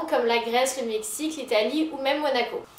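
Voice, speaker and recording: High-pitched woman's voice with ordinary pitch variation, audible room echo and noticeable background noise. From Paris region, France (Versailles suburbs). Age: 20s. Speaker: lifestyle YouTuber. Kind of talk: casual vlog talk to camera.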